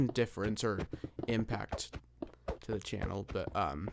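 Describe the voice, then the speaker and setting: A quiet man's voice at a moderate pace. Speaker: gaming YouTuber. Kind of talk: casual gameplay commentary. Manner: halting. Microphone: close to the microphone.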